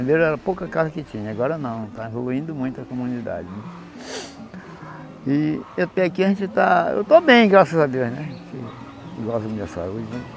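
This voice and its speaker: Over noticeable background noise, a man at a medium pitch speaks at a moderate pace, with very wide pitch swings and big swings in loudness. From Brazil, Pará (Santarém area quilombola community). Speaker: elderly community resident. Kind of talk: testimony.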